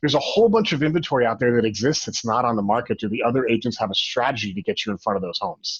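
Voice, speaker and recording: Somewhat breathy and very fast, a man talks with lively intonation in an American accent. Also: medium pitch for a man. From Arizona (Phoenix). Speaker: real estate broker and company president. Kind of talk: webinar training presentation. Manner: animated.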